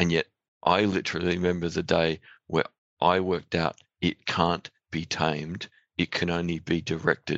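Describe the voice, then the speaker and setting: Over a quiet background, a man with an Australian accent speaks at a moderate pace with very deep, low pitch, monotone, flat intonation, long, frequent pauses and a dry, close sound with no echo. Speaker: podcast host. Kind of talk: interview. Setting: studio.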